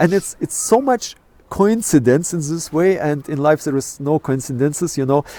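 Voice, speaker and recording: Heard in a dry, close sound with no echo, a man with a fairly high pitch has a dark, mellow tone. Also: ordinary pitch variation, moderate pace. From Kazakhstan. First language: Russian. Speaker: astrophotographer. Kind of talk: interview. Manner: halting, many fillers.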